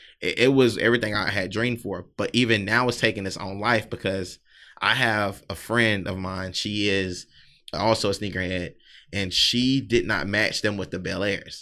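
A man with a Southern US accent speaks at a moderate pace in a fairly low pitch, his tone bright and sharp and his intonation fairly even, on a very clean recording with a silent background. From US South, South Carolina. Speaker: sneaker brand owner and podcaster. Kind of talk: casual chat.

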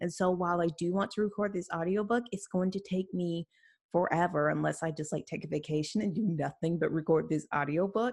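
At a moderate pace, the speaker talks in an ordinary speaking voice. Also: woman. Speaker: indie author podcast host. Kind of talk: casual chat.

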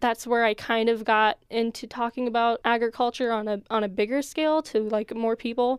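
In an American accent, a woman talks in a normal speaking voice at a fairly high pitch and moderate pace. The sound is dry and close, with no echo. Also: very clean recording, silent background. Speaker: college student podcast host. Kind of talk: casual chat.

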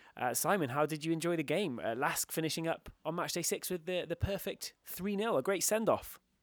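In an English accent, the speaker moves at a fairly quick pace with hardly any pauses and ordinary pitch variation, on a very clean recording with a silent background. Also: man, high pitch for a man. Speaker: football podcast host. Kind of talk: casual chat. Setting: hotel room.

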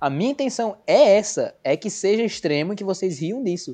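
A man's pitch swings very widely as he talks. The background is quiet. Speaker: podcast host. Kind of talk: casual chat.

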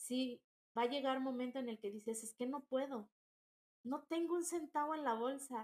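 Her voice sits high for a woman and shows ordinary pitch variation. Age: 30s. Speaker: entrepreneur. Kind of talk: interview.

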